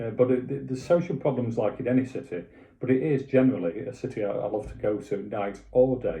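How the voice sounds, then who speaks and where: The voice has vocal fry, ordinary pitch variation and a fairly quick pace. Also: man. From Doncaster, South Yorkshire, northern England. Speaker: web designer and property introducer. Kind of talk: casual talk to camera. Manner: hesitant, many fillers and restarts.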